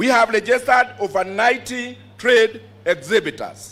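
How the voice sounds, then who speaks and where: A man with an ordinary amount of pitch variation and a Kenyan accent. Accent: Kenyan, Kikuyu-accented English. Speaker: agricultural show branch chairman. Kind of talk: formal speech at public event. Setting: PA system, outdoors.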